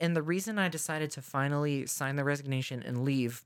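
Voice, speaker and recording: Speech moves at a moderate pace on a very clean recording with a silent background. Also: woman. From Mississippi. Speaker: podcast co-host and teacher. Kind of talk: casual chat. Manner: animated.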